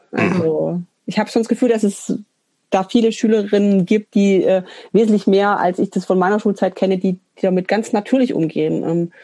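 A woman speaks in a normal speaking voice at medium pitch and a moderate pace, with fairly even intonation, very even loudness, and a dry, close sound with no echo. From Swabian Alb, Germany (Münsingen). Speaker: punk musician and social worker. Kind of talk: casual interview chat.

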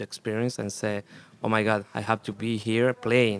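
A man's fairly low voice with a Spanish accent, monotone and flat in intonation, in a dry, close sound with no echo. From Chile. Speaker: punk rock musician. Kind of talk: casual interview. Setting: festival radio studio.

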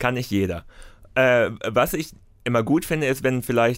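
Over a silent background in a very clean recording, a man talks at a moderate pace with a medium pitch, ordinary pitch variation and an animated tone. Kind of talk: comedic rant. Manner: sarcastic, animated.

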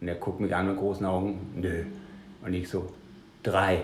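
In a slight Danish accent, a man speaks in a very deep, low, somewhat breathy voice with monotone, flat intonation, and audible room echo surrounds him. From Denmark. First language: Danish (speaking German). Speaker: punk musician and author. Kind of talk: casual interview.

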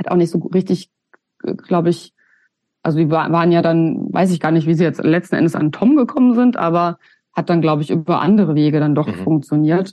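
A woman talks at a fairly quick pace and fairly low pitch with ordinary pitch variation, in an ordinary speaking voice. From Germany, Hesse (near Giessen). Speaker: punk musician and sociologist. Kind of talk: casual interview conversation.

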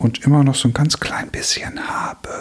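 A man talks at a moderate speed while noticeable background noise runs underneath. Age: 40s. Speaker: podcast host, worship musician. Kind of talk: casual chat.

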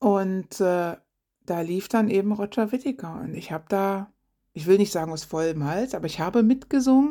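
A woman speaks at medium pitch and a moderate pace with a dark, mellow tone and lively intonation. Her loudness swings widely, and the recording is very clean with a silent background. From eastern Germany. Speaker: podcast co-host. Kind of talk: casual monologue.

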